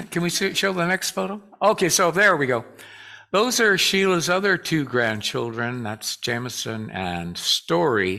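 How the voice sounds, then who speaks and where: A man with a fairly high, bright, sharp voice talks at a fairly slow pace, his pitch swinging very widely. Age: 70s. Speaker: church choir director. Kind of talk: talk to a congregation. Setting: church with audience. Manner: casual and halting, with many fillers.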